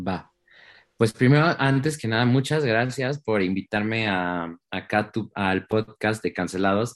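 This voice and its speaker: An ordinary speaking voice moves at a fairly slow pace with ordinary pitch variation. The sound is dry and close, with no echo. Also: man, quiet background. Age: 20s. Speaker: singer. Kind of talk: interview.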